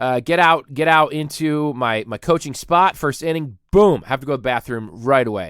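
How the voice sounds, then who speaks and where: The voice has an animated tone and ordinary pitch variation, moving at a moderate pace with hardly any pauses on a very clean recording against a silent background. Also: man, fairly high pitch for a man. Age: 30s. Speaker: podcast host. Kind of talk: comedic rant. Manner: loud.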